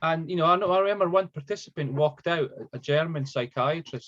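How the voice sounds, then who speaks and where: A man with a Scottish accent speaks at a fairly quick pace. His voice is somewhat breathy. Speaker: psychotherapist. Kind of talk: interview via interpreter. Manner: halting, many repetitions.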